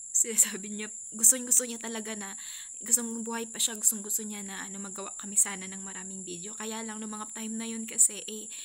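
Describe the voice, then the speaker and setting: A woman's very fast, monotone, flat delivery, with big swings in loudness and audible room echo. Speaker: family vlogger. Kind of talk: personal vlog update. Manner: halting.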